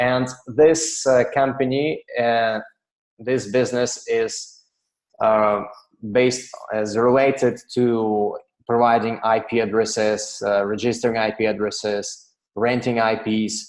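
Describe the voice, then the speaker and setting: In a Russian accent, a man talks at a very slow pace with fairly even intonation. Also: medium pitch for a man. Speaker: software company director. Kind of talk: webinar presentation. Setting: online webinar. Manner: halting, many fillers.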